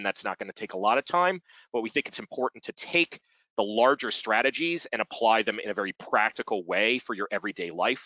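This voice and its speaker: A man's lively intonation rises and falls as he talks at a fairly quick pace. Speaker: webinar host, fundraising software partnerships director. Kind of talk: webinar presentation. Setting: online webinar. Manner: loud.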